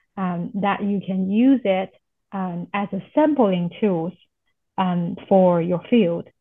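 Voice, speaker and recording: Very slow speech from a woman, medium in pitch, its pitch varying in an ordinary way. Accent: Chinese. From China. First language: Chinese. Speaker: professor. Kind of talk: interview. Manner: halting, many fillers.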